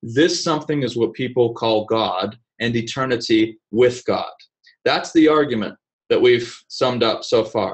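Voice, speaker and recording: Speaking with an American accent, a man goes at a fairly slow pace with ordinary pitch variation. The background is quiet. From Vienna, Austria (American missionary family), then US. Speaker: speaker. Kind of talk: lecture. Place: office. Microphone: webcam.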